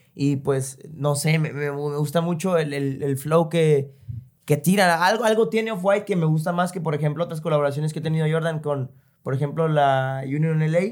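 With an unremarkable speaking voice, a man talks moderately fast at a fairly high pitch, his pitch moving in an ordinary way. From El Salvador. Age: 20s. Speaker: sneaker enthusiast guest. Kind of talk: casual chat.

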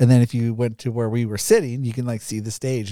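Very clean and recorded against a silent background, a man speaks very fast at a medium pitch with a dark, mellow tone. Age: 30s. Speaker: podcast co-host. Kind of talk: casual chat.

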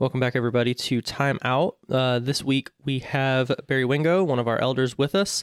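With a plain, everyday voice at medium pitch, a man speaks at a moderate pace with hardly any pauses, very even loudness and fairly even intonation, recorded dry and close with no echo, very clean with a silent background. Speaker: podcast host. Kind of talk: casual interview chat.

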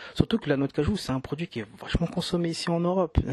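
A man talks with a dry, close sound that carries no echo. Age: 30s. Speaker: entrepreneur, business partner. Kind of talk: casual conversation. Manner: halting, frequent hesitations.

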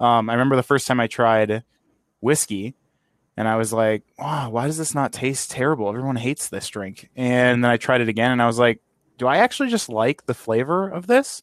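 An ordinary speaking voice from a man at a fairly quick pace, with a dry, close sound, no echo, and a very clean recording with a silent background. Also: medium pitch for a man, ordinary pitch variation. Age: 20s. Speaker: podcast host. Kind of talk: casual chat.

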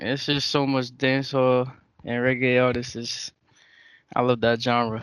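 With an American accent, a man speaks at a medium pitch in a monotone, flat intonation. He leaves long, frequent pauses. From New York (Brooklyn). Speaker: musician. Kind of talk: interview.

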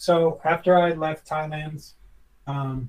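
His voice is somewhat breathy. This man's pitch is fairly high. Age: 40s. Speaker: former professional chef. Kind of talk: casual interview chat.

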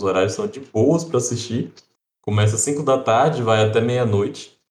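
A man with a normal speaking voice, medium in pitch, with ordinary pitch variation. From Brazil, interior. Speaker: podcast co-host. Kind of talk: casual chat.

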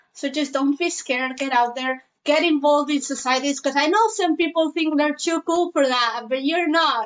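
A woman speaks with a Spanish accent in a high pitch at a moderate pace. Her loudness is very even, and she leaves hardly any pauses. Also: ordinary pitch variation. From Spain (Zaragoza). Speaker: university student. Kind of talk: interview.

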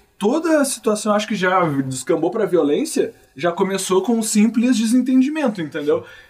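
A man talks at a moderate pace with very wide swings in pitch. Noticeable background noise sits behind him. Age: 20s. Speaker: podcast host. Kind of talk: casual chat.

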